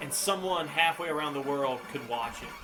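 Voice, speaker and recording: A man's fairly high voice at a moderate pace, relaxed in tone, with ordinary pitch variation, audible room echo and noticeable background noise. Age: 40s. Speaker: YouTuber and guitarist. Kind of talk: casual vlog commentary over gameplay. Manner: loud; relaxed, hesitant with fillers.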